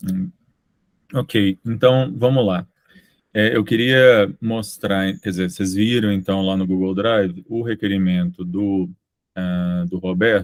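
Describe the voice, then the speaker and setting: The delivery is very slow. Intonation is fairly even throughout. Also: man, fairly low pitch for a man. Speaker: university program coordinator chairing committee meeting. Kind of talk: committee meeting.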